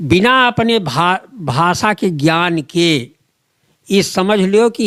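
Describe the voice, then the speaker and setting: With lively intonation, this man's voice has a dry, close sound with no echo. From Ayodhya region, Uttar Pradesh. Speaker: folk poet. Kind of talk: interview answer.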